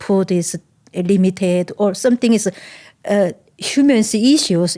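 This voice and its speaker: On a very clean, silent-background recording with dry, close sound and no echo, a woman speaks at a medium pitch in a dark, mellow tone. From North Korea. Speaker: human rights activist. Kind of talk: interview testimony. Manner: halting non-native English.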